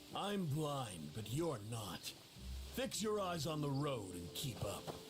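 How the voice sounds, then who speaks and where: A man puts on a character voice at medium pitch. He speaks fairly slowly over loud background noise. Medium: video game. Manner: terse, grim.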